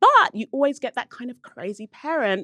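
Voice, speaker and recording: Someone speaks in a London accent with a bright, sharp tone. The pace is moderate and the background is quiet. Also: woman, dry, close sound with no echo. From South London (Brixton), England. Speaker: podcast host. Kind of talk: casual chat.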